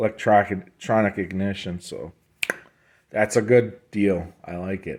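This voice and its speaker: Speaking fairly slowly with a strong Midwestern US accent, a man comes through in a very clean recording with a silent background. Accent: heavy US Midwestern. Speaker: motorcycle restorer. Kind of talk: casual walkthrough tutorial. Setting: workshop shed. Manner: casual, hesitant with fillers.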